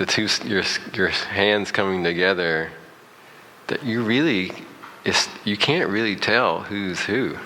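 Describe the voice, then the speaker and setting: A man with an American accent and a fairly low pitch, ordinary pitch variation, long and frequent pauses, audible room echo and noticeable background noise. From US South. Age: 50s. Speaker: motivational speaker. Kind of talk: guided meditation. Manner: halting.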